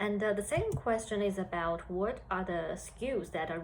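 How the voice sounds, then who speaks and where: A Chinese accent at a moderate pace. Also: woman. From China. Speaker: HR analyst. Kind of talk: career talk to students. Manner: hesitant with fillers.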